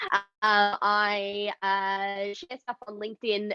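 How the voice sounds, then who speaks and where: A woman speaks with an Australian accent in a dry, close sound with no echo. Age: 20s. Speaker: neurodiversity advocate, event producer. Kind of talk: panel discussion.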